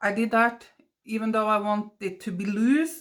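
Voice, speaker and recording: Her pace is moderate and her pitch fairly high. The woman speaks in a Norwegian accent. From Norway. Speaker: watercolor artist. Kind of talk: tutorial. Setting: home studio voiceover. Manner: halting. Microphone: basic equipment, poor sound.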